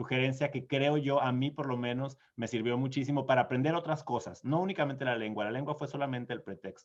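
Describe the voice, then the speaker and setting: A man speaks with a fairly high pitch. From Mexico, small town in Sonora. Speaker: diplomat. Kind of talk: conference Q&A answer. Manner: hesitant, many fillers and repeats.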